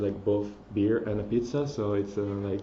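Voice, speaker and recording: A man with a strong Italian accent speaks at a moderate pace amid noticeable background noise and audible room echo. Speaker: mobile developer. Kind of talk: conference talk. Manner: halting, many fillers and restarts.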